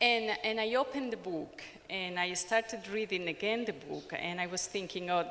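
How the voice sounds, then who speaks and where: A woman's bright, sharp, medium-pitched voice with a strong Ecuadorian accent, at a moderate pace and ordinary pitch variation. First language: Spanish. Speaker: sociologist and anthropologist. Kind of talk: conference presentation. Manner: hesitant, many fillers.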